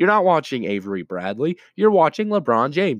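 This is a man's voice. He talks fairly quickly. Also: dry, close sound with no echo. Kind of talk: heated sports rant, emphatic debate-style monologue.

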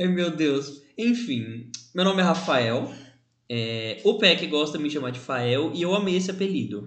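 Delivered at a fairly slow pace, the voice swings very widely in pitch, with audible room echo around it. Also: man, fairly high pitch for a man. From Brazil, São Bernardo do Campo (São Paulo area). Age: 20s. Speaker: podcast co-host. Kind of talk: casual chat.

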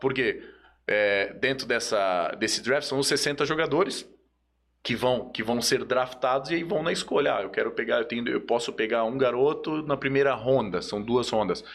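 Using an ordinary speaking voice, a man talks at a moderate pace with medium pitch and lively intonation. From Joinville, Santa Catarina, Brazil. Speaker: sports agent. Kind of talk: casual chat.

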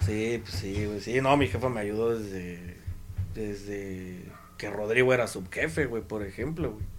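Fairly low in pitch, a man speaks at a fairly slow pace with ordinary pitch variation. Audible room echo surrounds his voice. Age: 20s. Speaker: former youth scout coordinator. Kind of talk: casual chat.

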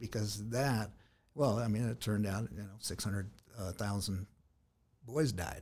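A man with an American accent speaks at a fairly low pitch with ordinary pitch variation and a somewhat breathy sound. He leaves long, frequent pauses, and the recording is very clean with a silent background. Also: moderate pace. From US West Coast, San Diego. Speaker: local party official. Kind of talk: interview. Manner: halting with frequent fillers.

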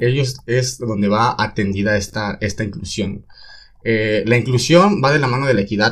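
A man's medium-pitched voice at a moderate pace, with ordinary pitch variation and big swings in loudness. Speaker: teacher in training. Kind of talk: casual chat.

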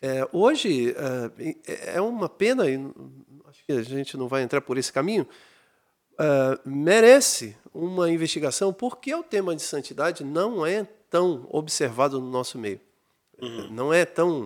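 Recorded very cleanly against total silence, a man with a fairly high voice talks at a fairly slow pace, his pitch swinging very widely and his speech broken by long, frequent pauses. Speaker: pastor. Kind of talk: casual chat.

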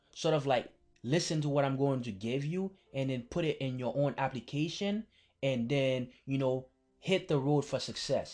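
Over music in the background, a man speaks at a moderate pace with a fairly high pitch and ordinary pitch variation. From Haiti (Port-au-Prince). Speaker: podcast host, college mentor. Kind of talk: motivational monologue.

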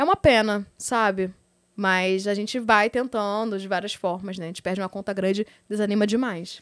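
In a very clean recording with a silent background, a woman of medium pitch speaks at a moderate pace, with big swings in loudness. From Rio de Janeiro, Brazil. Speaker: adult content creator. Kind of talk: casual interview. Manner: animated. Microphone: too far from mic at start.

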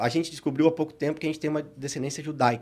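This man has an unremarkable speaking voice, fairly high in pitch with ordinary pitch variation. The recording is very clean, with a silent background. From southern Brazil (Paraná, born Rio Grande do Sul). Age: 30s. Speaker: businessman and church speaker. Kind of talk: podcast interview with faith testimony.

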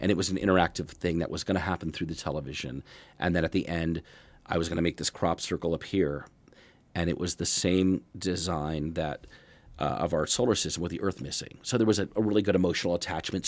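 At a very fast pace, a man with an American accent speaks in a very deep, low pitch with vocal fry and ordinary pitch variation over a quiet background. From Erie, Pennsylvania. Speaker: magician. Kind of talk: interview. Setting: studio.

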